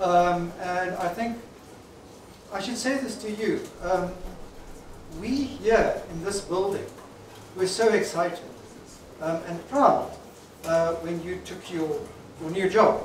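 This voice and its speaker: Amid light background noise and audible room echo, a man with a high pitch speaks at a very slow pace, with ordinary pitch variation and long, frequent pauses. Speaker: company founder and speaker. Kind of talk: celebration speech to an audience. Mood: warm, grateful. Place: hall.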